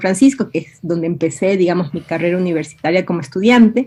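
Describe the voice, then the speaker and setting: A woman's fairly low voice at a very fast pace. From Ecuador, Quito (born Guayaquil). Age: 50s. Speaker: writer and university professor. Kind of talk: interview. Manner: hesitant, many fillers.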